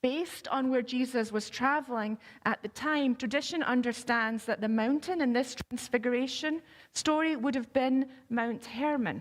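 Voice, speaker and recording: A woman with a Scottish accent speaks at a fairly slow pace in a high pitch. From Scotland. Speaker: pastor. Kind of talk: sermon.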